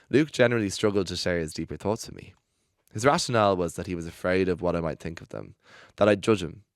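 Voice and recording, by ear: A natural voice reading aloud, ordinary pitch variation, quiet surroundings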